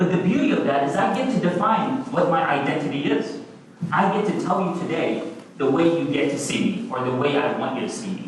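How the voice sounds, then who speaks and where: Very wide pitch swings come through alongside audible room echo and noticeable background noise. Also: man. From Oman, then Kentucky from age 13. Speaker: economics professor. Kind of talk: talk to students. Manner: conversational.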